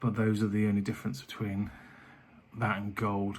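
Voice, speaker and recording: Soft-spoken and fairly low-pitched, a man with a British accent talks at a moderate pace. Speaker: vlogger and cookery business owner. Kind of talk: casual vlog talk. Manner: soft-spoken, speaking quietly.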